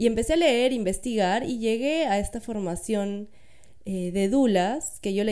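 A woman with a fairly high pitch and a dark, mellow tone speaks at a moderate pace with lively intonation, and audible room echo surrounds her. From Peru, Lima. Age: 30s. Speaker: doula and architect. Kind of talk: interview, personal testimony.

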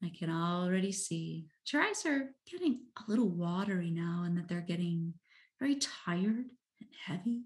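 Over a quiet background, a woman of medium pitch speaks in a soothing, somewhat breathy tone with ordinary pitch variation. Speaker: meditation guide and coach. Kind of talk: guided hypnosis-style meditation. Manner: slow, soothing, hypnotic cadence; soft, gentle, calm.

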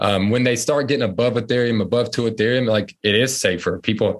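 Against a quiet background, a man with an American accent talks fairly quickly in an unremarkable speaking voice. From North Carolina. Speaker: marketing professional and NFT investor. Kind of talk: interview. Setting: remote call from home.

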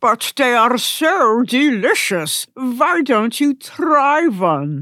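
In a put-on character voice, a woman speaks at a very slow pace with a high pitch and very wide pitch swings. Her loudness stays very even, and the sound is dry and close with no echo. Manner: warm, gentle.

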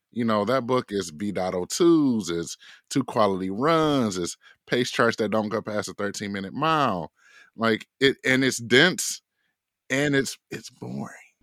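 A plain, everyday voice talks at a fairly slow pace with lively intonation. The sound is dry and close, with no echo. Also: man, medium pitch for a man. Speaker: running coach and author. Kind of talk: interview. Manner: casual.

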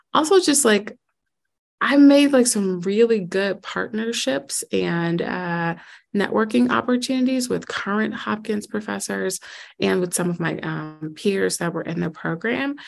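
A woman with an American accent, a medium pitch and very wide pitch swings, at a fairly slow pace. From US Midwest, Chicago. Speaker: school network president, former math teacher. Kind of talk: interview.

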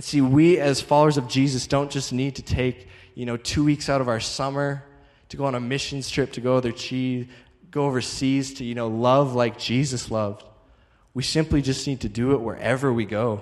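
A man with a normal speaking voice at medium pitch and a fairly quick pace. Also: fairly even intonation. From Calgary, Canada. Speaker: traveling evangelist. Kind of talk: sermon.

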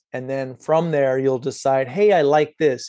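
The background stays quiet. Words come at a moderate pace. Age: 30s. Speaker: fitness trainer. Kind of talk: interview.

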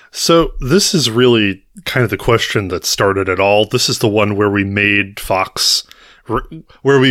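Recorded very cleanly against a silent background, a man with an American accent talks at a moderate pace. His fairly low voice has a bright, sharp tone. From United States. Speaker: podcast co-host. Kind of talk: casual chat.

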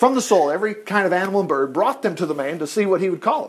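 What you hear is a natural reading voice.

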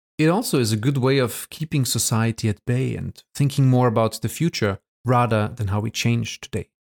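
A man with a German accent is heard in a very clean recording with a silent background and a dry, close sound with no echo. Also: medium pitch for a man, ordinary pitch variation. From Austria; Vorarlberg, Austria. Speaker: podcast host, photo collector and publisher. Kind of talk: scripted podcast introduction.

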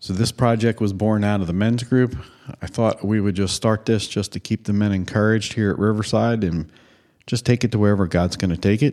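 Fairly low in pitch with ordinary variation, a man with an American accent speaks in a dark, mellow tone. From Philadelphia area, Pennsylvania (Upper Moreland/Hatboro). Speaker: podcast host. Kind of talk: scripted podcast introduction.

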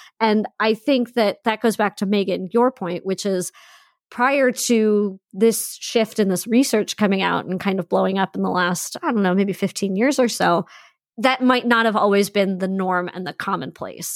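The sound is dry and close with no echo as a woman with an ordinary speaking voice talks at a moderate pace in a medium pitch with ordinary pitch variation. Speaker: podcast host and teacher. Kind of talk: casual chat. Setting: video call across time zones.

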